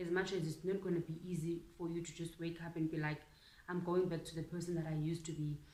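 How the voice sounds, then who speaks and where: The voice has a dark, mellow tone, moves at a fairly quick pace, and keeps a monotone, flat intonation. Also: woman. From South Africa. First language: Xhosa. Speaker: YouTuber. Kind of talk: casual vlog monologue. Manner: code-switching between English and Xhosa.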